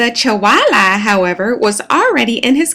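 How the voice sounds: Lively intonation in a natural reading voice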